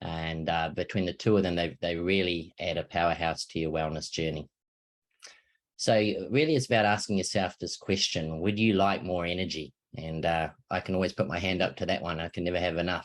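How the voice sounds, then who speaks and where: A man with a New Zealand accent, very deep and low in pitch, at a fairly quick pace with fairly even intonation, over a quiet background. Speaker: wellness product presenter. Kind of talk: sales pitch. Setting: online video presentation. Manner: casual, hesitant with fillers.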